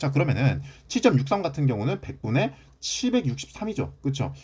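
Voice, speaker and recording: Pitch swings very widely throughout. The tone is dark and mellow, edged with vocal fry. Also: man. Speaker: math teacher. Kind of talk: lecture. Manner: fast.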